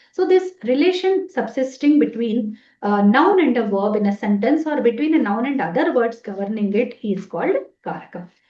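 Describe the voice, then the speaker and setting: With a Telugu accent, a woman speaks at a fairly high pitch with very wide pitch swings. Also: moderate pace. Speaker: Sanskrit professor. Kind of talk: lecture. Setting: webinar.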